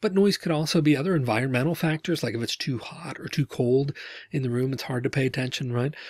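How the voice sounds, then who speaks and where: Somewhat breathy and very fast, a man speaks with ordinary pitch variation, recorded with a dry sound, no echo, and a quiet background. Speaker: instructor. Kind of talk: lecture. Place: home room. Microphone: webcam.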